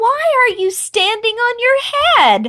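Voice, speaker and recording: Putting on a squeaky character voice, a woman speaks very slowly at an extremely high pitch. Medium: read story.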